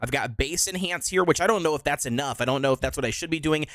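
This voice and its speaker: A man speaks with lively intonation. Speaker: gaming live streamer. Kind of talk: casual live stream chat. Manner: casual, filler-heavy.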